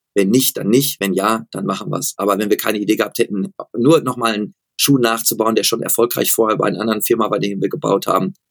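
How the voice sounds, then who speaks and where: Here a man speaks at a medium pitch in an ordinary speaking voice, with ordinary pitch variation. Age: 40s. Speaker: running shoe expert and company founder. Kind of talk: interview.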